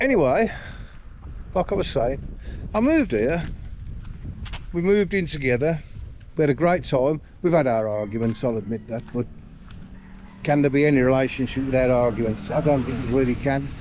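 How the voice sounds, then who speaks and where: In a British accent, a man talks at a fairly quick pace and a medium pitch, with lively intonation and a relaxed tone. He takes long, frequent pauses. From UK. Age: 60s. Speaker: vlogger. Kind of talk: casual vlog monologue. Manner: relaxed, rambling with fillers.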